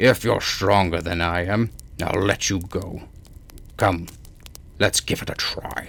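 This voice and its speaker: A put-on character voice from a man, very deep, low and raspy, at a fairly slow pace with long, frequent pauses. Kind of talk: bedtime story. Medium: read story.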